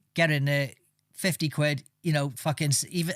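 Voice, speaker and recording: Fairly high in pitch and somewhat breathy, a man speaks at a fairly quick pace with fairly even intonation in a very clean recording with a silent background. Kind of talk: casual podcast banter.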